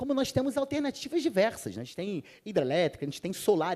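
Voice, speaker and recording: A man speaks with a Rio de Janeiro accent and a dark, mellow tone. His pitch swings very widely. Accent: carioca. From Rio de Janeiro, Brazil. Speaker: panel speaker on sustainability. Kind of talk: conference panel talk.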